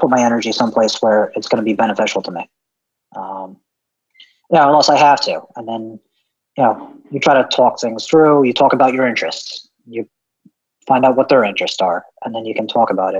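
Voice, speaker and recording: A man talks at a fairly quick pace with an American accent and ordinary pitch variation. His speech breaks often into long pauses. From lower Hudson Valley, New York. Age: 30s. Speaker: delivery driver. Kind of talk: interview.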